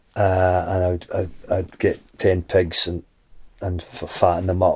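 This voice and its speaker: With a Scottish accent, the speaker has a dark, mellow tone and a somewhat breathy quality on a very clean recording with a silent background. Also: man. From Scotland, Dumfries. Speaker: shepherd and singer-songwriter. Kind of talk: casual interview chat. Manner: halting, many repetitions and fillers.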